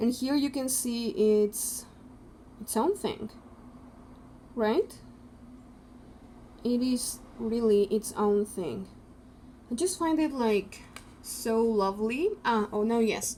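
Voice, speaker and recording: Speaking at a very slow pace with a non-native accent, a woman has a fairly high pitch, a dark, mellow tone, ordinary pitch variation and long, frequent pauses. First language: not English. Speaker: tarot youtuber. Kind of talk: casual product review.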